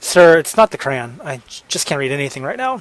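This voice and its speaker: Speaking at a very fast pace, a man is heard in a dry, close sound with no echo. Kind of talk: audiobook narration.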